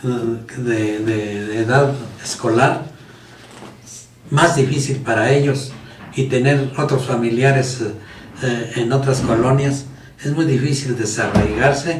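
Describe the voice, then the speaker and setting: A man at a very slow pace with long, frequent pauses, medium pitch and fairly even intonation, amid audible room echo and noticeable background noise. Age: 80s+. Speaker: teacher. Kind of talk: casual chat.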